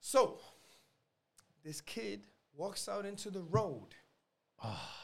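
A man uses a raised, projected voice. He speaks at a very slow pace. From New York City (the Bronx), Puerto Rican American. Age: 30s. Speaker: military veteran. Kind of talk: casual chat.

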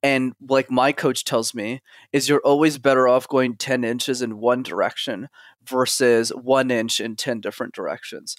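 This man has an ordinary speaking voice at a medium pitch. He talks at a moderate pace. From Montreal, Canada. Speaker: communication coach. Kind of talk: casual interview chat. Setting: video call.

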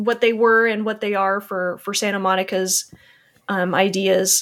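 This is a woman with a plain, everyday voice. She talks at a moderate pace and a medium pitch. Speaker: guest, coin display seller and gamer. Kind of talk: casual chat.

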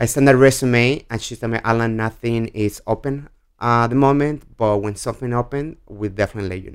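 With a Mexican accent, a man talks at a fairly quick pace in a medium pitch, his intonation fairly even and his loudness swinging widely. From Mexico. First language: Spanish. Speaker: spirits brand ambassador. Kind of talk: casual interview.

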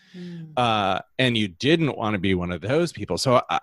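Lively intonation marks a man's somewhat breathy voice, delivered with an American accent. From US Midwest, Holland, Michigan. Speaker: business messaging coach. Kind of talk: interview.

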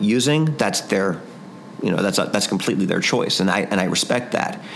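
A man's voice at medium pitch with ordinary pitch variation, amid noticeable background noise and audible room echo. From Cincinnati. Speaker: voice actor. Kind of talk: interview.

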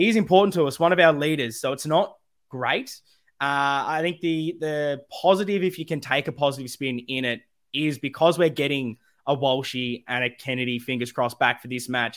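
Speaking at a moderate pace with an Australian accent, a man uses a fairly high pitch with ordinary pitch variation. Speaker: podcast host. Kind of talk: live podcast chat about football. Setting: live YouTube stream.

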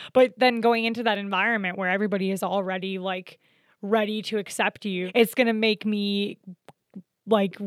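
Medium pitch and a fairly quick tempo from a woman's voice. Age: 20s. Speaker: podcast host. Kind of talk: casual chat. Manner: animated.

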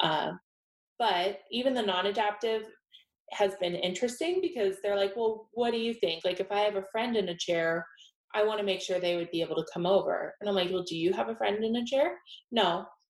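A woman with a normal speaking voice, medium in pitch, at a fairly quick pace, with an American accent. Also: ordinary pitch variation. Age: 20s. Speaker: interior designer. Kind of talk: interview.

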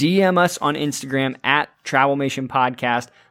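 This man has a plain, everyday voice at a fairly high pitch. His intonation is lively. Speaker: podcast host. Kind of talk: casual podcast chat.

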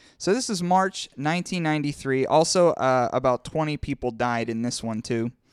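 Spoken at a moderate pace with an American accent and lively intonation, the voice sounds dry and close with no echo on a very clean recording against a silent background. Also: man, fairly high pitch for a man. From Pittsburgh, western Pennsylvania. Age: 30s. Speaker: podcast host. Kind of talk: casual chat. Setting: studio.

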